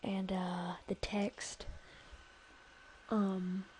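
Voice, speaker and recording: This is a woman. She is whispering. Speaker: software tutorial youtuber. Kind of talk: tutorial. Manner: hesitant, many fillers.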